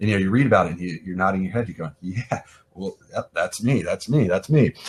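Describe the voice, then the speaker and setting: With an American accent, a man speaks at a fairly low pitch, somewhat breathy, with lively intonation. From US Midwest. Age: 40s. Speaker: event art director and freelance designer. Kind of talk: podcast interview. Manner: halting, many fillers and repeats.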